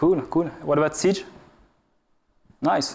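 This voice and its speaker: Speaking with a French accent at a moderate pace, a man uses a high pitch, with audible room echo around him. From France. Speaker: game analytics researcher. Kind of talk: conference talk. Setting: stage with audience. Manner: hesitant, many filler uhs.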